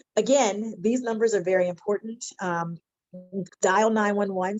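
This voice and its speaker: A woman talks at a moderate pace. Her voice is medium-pitched, with a Philadelphia accent. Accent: Philadelphia American. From Philadelphia, US. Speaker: mental health counselor. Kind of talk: webinar presentation.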